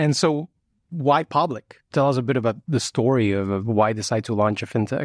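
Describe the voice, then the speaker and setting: A man with a normal speaking voice at medium pitch, fairly quick pace and ordinary pitch variation, on a very clean, dry, close recording with no echo and a silent background. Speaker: podcast host and venture capitalist. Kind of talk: interview conversation. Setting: in person at guest's office.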